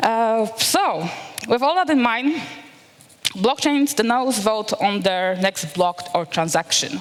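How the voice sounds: A woman speaks slowly at a fairly high pitch, her intonation lively.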